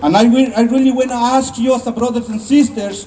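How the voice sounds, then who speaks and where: With a non-native accent and fairly even intonation, a man speaks at an extremely high pitch amid noticeable background noise. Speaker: immigrant rights activist. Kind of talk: rally speech. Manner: halting.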